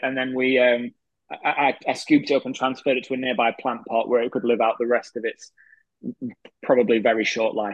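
Fairly quick and monotone, a man talks with flat intonation. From northern England, Grimsby. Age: 30s. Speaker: magician. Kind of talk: casual chat.

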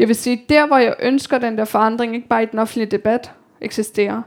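Speaking at a fairly quick pace, a woman uses a fairly high pitch and fairly even intonation. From Denmark, Copenhagen (Amager). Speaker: author. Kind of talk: talk with audience Q&A. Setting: library event with audience.

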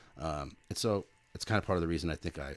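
A man talks at a very fast pace. His voice carries vocal fry. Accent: American. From California. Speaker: professional drummer. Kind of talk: casual chat.

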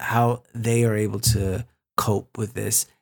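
In an American accent, a man speaks at a medium pitch with ordinary pitch variation. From US West Coast, San Francisco Bay Area. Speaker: podcast host's husband. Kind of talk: casual chat. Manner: halting.

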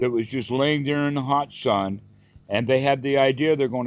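An unforced reading voice holds its intonation fairly even.

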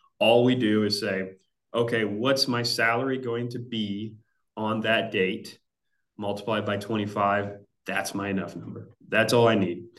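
A man speaks slowly in a fairly low, monotone voice with flat intonation. Room echo is audible around him. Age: 30s. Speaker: financial planner. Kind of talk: interview explainer. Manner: hesitant, many fillers.

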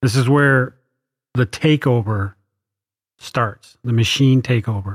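A somewhat breathy man's voice at medium pitch and a very slow pace. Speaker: podcast host. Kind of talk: casual chat.

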